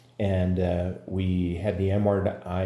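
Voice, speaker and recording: Through audible room echo comes a man's voice. His pitch is very deep and low. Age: 60s. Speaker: patient. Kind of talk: testimony. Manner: halting, many fillers.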